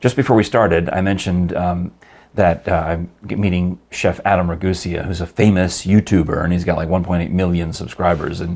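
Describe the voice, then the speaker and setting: A man speaks at a fairly quick pace with a very deep, low pitch. His intonation stays fairly even. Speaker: radio host. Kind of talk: casual podcast conversation. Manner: fast.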